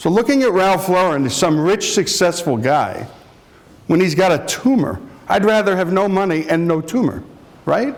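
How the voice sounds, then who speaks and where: Over noticeable background noise, a man speaks with a high pitch and very even loudness. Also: moderate pace. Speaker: radio host and executive. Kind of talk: lecture to students.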